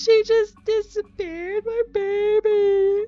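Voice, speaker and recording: In a put-on character voice, a woman speaks at an extremely high pitch with monotone, flat intonation and a fairly slow pace. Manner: distressed, panicked.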